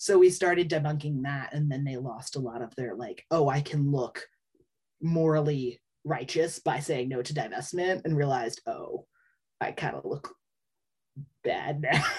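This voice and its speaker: A moderate pace with long, frequent pauses, in an American accent. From Philadelphia, US. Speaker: student climate activist. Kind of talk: casual interview.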